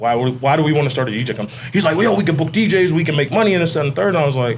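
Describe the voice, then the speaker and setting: Very fast, lively intonation from a man over noticeable background noise. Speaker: nightlife DJ company owner. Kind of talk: casual chat. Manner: laid-back.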